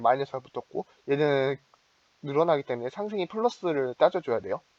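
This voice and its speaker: The sound is dry and close, with no echo. Speech runs at a very fast pace with ordinary pitch variation. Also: man. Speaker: student chemistry club tutor. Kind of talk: lecture. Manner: halting, many fillers.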